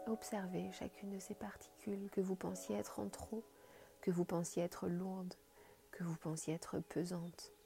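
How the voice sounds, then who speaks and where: Fairly slow speech with music in the background. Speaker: meditation guide. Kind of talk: guided meditation. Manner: soft-spoken.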